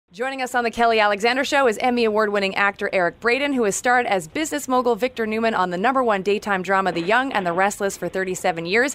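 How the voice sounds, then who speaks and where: Against noticeable background noise, a woman talks at a very fast pace with hardly any pauses, using a fairly high pitch and ordinary pitch variation. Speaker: talk show host. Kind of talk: interview questions.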